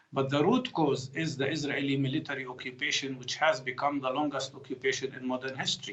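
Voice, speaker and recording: The speaker is a man at a moderate pace. There is noticeable background noise. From Palestine, Jerusalem. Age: 60s. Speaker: physician and political commentator. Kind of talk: news interview.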